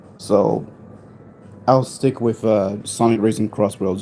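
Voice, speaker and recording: Fairly low, dark and mellow, a man's voice at a fairly slow pace with fairly even intonation. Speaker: gaming live streamer. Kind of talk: live stream chat. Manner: casual, halting.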